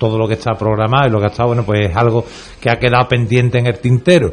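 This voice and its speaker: Here a man speaks at a medium pitch. His pace is very fast. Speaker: panelist on religious brotherhoods. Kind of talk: radio roundtable discussion.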